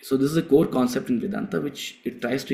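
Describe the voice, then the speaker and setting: The speaker has a South Indian accent and a dark, mellow tone. The pace is moderate. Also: man. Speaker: spiritual teacher. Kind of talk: lecture.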